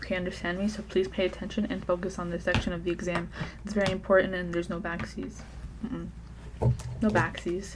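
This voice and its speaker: Soft-spoken and playful, a woman talks at a very fast pace. Noticeable background noise runs behind her. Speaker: ASMR creator doing a doctor roleplay. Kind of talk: ASMR medical roleplay, soft-spoken talk to the viewer. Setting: close-mic ASMR recording. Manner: soft-spoken, playful, chatty.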